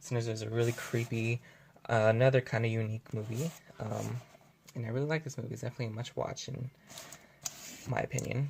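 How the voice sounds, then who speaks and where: The speech runs at a very fast pace yet is broken by long, frequent pauses. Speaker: YouTuber, horror movie reviewer. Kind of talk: casual vlog talk to camera. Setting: filming at home at night.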